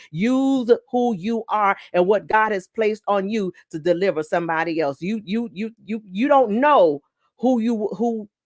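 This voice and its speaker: A woman's plain, everyday voice at medium pitch, fairly slow pace and lively intonation, dry and close with no echo. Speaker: pastor. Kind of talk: sermon.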